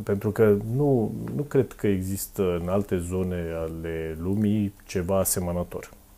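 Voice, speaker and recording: This man talks at a fairly slow pace. His voice sits very deep and low, with a dark, mellow tone. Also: ordinary pitch variation. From Romania, Dâmbovița county; Romania. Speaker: podcast host. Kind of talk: interview. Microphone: lapel.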